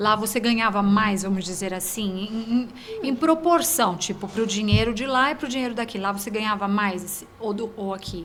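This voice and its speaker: Over noticeable background noise and audible room echo, a woman speaks at a moderate pace and fairly high pitch with ordinary pitch variation. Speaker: podcast host. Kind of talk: casual interview. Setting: studio.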